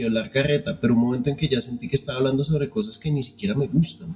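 This man speaks at a fairly high pitch. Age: 40s. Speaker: film podcast host, former metal musician. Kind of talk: casual chat. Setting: live stream.

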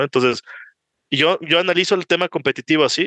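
Speaking at a very fast pace, a man with a bright, sharp tone keeps his intonation fairly even in a dry, close sound with no echo against a quiet background. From Ecuador. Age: 20s. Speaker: startup founder and CEO. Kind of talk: casual interview conversation.

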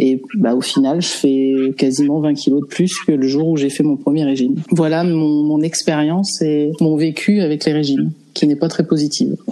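A woman with a very deep, low pitch speaks at a moderate pace with ordinary pitch variation. Her loudness stays very even over noticeable background noise. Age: 30s. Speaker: guest sharing eating disorder experience. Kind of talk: casual interview.

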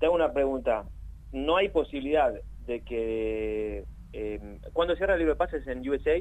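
With a Rioplatense accent, a man speaks at a moderate pace. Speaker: sports journalist. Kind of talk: casual chat.

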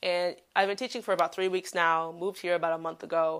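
Over a silent background in a very clean recording, a woman at medium pitch speaks in an animated tone. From Chicago, US. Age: 20s. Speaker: podcast host and English teacher. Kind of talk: casual solo podcast talk.

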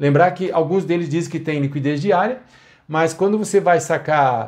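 A man talks with a somewhat breathy voice and ordinary pitch variation. The background is quiet. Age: 60s. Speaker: financial consultant. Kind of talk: solo commentary podcast.

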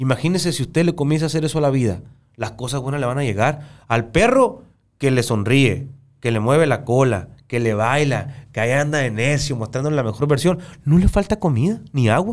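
A man's plain, everyday voice, fairly high-pitched, with lively intonation and a fairly quick pace. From Sonora, Mexico. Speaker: podcast host. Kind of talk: casual conversation. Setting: studio.

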